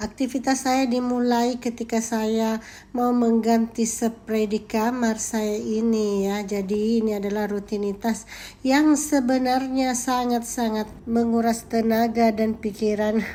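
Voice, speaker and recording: At a fairly slow pace and with hardly any pauses, a woman talks in a shrill, fairly high voice with a dark, mellow tone and monotone, flat intonation. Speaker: vlogger, teacher and housewife. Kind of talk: vlog narration. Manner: casual, chatty.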